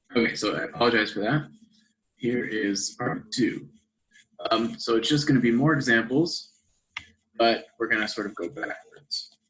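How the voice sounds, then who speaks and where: A man talks at a medium pitch and a moderate pace. His pitch varies in an ordinary way, with long, frequent pauses. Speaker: math instructor. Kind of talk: lecture. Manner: loud. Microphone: poor audio pickup from setup.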